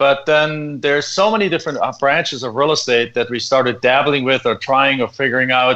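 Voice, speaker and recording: Speaking at a fairly quick pace in a German accent, a man has a fairly high pitch and a bright, sharp tone. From Germany. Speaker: real estate investor. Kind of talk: interview.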